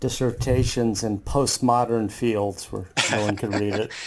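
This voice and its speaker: Over noticeable background noise, a medium-pitched man talks at a fairly slow pace with fairly even intonation. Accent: American. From US. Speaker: podcast host, professor. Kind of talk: podcast interview.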